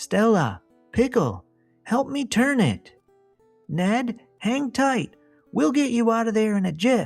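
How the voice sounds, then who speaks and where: A put-on character voice, fairly high in pitch, moves at a fairly slow pace with long, frequent pauses. Faint music plays in the background. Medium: read story.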